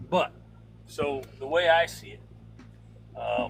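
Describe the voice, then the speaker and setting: A man talks with music playing in the background. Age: 60s. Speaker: truck driver, owner-operator. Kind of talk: call-in opinion. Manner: halting, repeats words.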